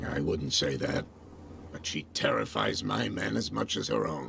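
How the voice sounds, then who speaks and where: Putting on a character voice, a man growls out raspy, very deep, low-pitched words at a moderate pace amid clear background noise. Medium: video game. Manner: guarded.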